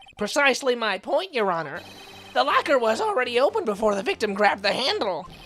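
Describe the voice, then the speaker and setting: In a put-on character voice, fairly high in pitch, the speaker races at a very fast pace over light background noise. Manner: earnest, prim.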